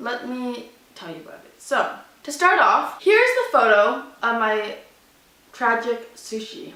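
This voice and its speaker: In audible room echo, a woman with a fairly high pitch speaks at a fairly slow pace. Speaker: vlogger. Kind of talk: storytime vlog; reading aloud. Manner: loud; animated.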